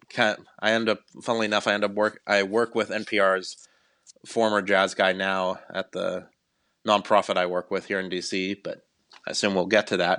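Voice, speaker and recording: A man with a Midwestern accent, fairly low pitch, a bright, sharp tone and monotone, flat intonation, against a quiet background. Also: moderate pace. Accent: General American (Midwest). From Cleveland, Ohio, US Midwest. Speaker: radio producer. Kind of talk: casual interview.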